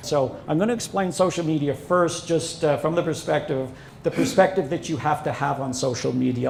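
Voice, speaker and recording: An ordinary speaking voice from a man, fairly high in pitch, fairly quick, with ordinary pitch variation. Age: 60s. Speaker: social media consultant and instructor. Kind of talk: seminar presentation. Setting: seminar with live audience.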